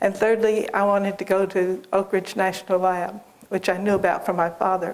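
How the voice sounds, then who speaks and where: Monotone, flat intonation marks a woman's medium-pitched voice. She speaks at a fairly quick pace. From US South, Lexington, Kentucky. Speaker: biology professor. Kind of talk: interview, life story.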